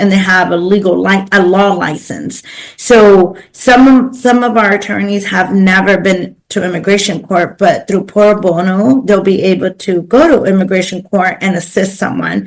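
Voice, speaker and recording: A woman with a Spanish accent speaks at medium pitch and a moderate pace, with fairly even intonation and hardly any pauses. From East Los Angeles, US. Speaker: pro bono coordinator. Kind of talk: interview conversation. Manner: many fillers and repetitions.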